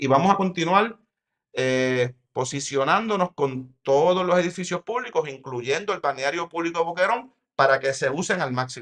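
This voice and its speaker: Here is a man with a high-pitched voice. His intonation is lively. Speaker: mayor. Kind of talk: interview. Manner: fast; halting, with false starts.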